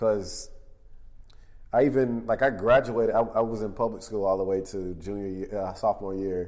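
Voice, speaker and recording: This man talks at a moderate pace with a fairly even intonation, in an American accent. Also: fairly low pitch for a man. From US South, Houston, Texas. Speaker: artist. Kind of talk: interview conversation. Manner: halting, many fillers.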